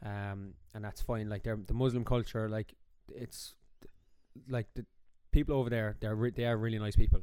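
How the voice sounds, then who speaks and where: A man with an Irish accent and a dark, mellow tone speaks at a moderate pace and medium pitch in a monotone, flat intonation, with big swings in loudness and long, frequent pauses. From Ireland. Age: 20s. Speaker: podcast co-host, teacher. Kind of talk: casual chat.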